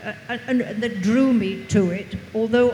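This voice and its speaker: Over noticeable background noise, a woman with an English accent talks at a fairly slow pace. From England. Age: 80s+. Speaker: author. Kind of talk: panel interview. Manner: halting.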